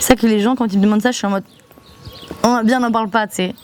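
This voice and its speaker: Over noticeable background noise, a woman speaks at a fairly high pitch with monotone, flat intonation. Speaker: vlogger, student back from exchange. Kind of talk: casual vlog monologue. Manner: poorly articulated.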